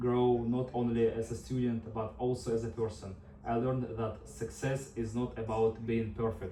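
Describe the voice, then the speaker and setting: Amid noticeable background noise and audible room echo, a man with a Russian accent talks at a moderate pace. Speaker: nursing student. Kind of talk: class speech. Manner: prepared, slightly halting.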